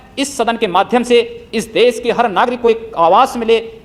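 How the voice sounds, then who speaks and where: There is noticeable background noise. Through it, a man speaks in a passionate tone at a high pitch. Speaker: politician, member of parliament. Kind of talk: parliamentary speech. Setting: parliament chamber. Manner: passionate, forceful.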